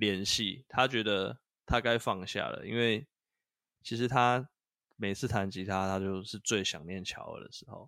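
A man's fairly low, bright, sharp voice with big swings in loudness and ordinary pitch variation, in a very clean recording with a silent background. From northern Taiwan, Taipei. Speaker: podcast co-host. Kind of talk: casual chat about video games.

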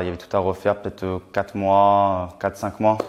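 The speaker is a man. His pitch sits fairly low. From Champagne, France (Reims). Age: 20s. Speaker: young property investor and author. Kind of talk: casual interview.

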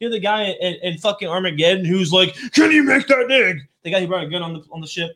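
A man speaks very fast in a high-pitched, raised and projected voice. His tone is animated and his intonation lively. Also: big swings in loudness. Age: 30s. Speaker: podcast co-host. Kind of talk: casual chat.

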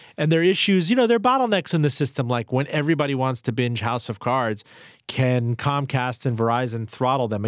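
A man's medium-pitched, normal speaking voice at a fairly quick pace, with a dry, close sound with no echo, on a very clean recording with a silent background. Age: 30s. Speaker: radio host. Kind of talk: interview. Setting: studio.

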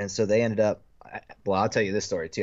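Fairly low in pitch, a man with an American accent has an unremarkable speaking voice. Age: 30s. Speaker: paintball player. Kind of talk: casual chat.

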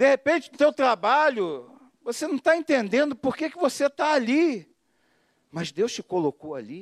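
With extremely high pitch and very wide pitch swings, a man speaks at a moderate pace, his loudness swinging widely. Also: dry, close sound with no echo, very clean recording, silent background. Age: 50s. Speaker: pastor. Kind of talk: sermon. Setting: church.

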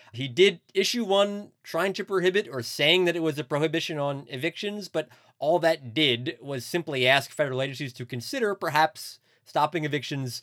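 On a very clean recording with a silent background, a man with an ordinary speaking voice and a fairly high pitch talks at a moderate pace. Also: ordinary pitch variation. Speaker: podcast co-host, newspaper reporter. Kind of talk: casual chat and interview.

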